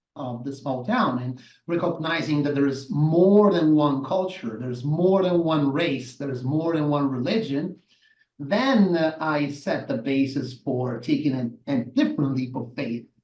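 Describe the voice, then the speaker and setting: A man with an Italian accent talks at a fairly slow pace, his fairly high pitch showing ordinary variation. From southern Italy, Salerno. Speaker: massage therapist and movement educator. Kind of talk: interview. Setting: live show.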